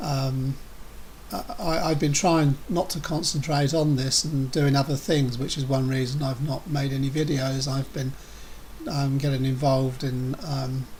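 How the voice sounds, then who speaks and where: Against noticeable background noise, a man with an English accent speaks slowly in a fairly high pitch with fairly even intonation. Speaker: vlogger with a neurological condition. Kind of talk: personal video update. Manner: halting, stammering repetitions.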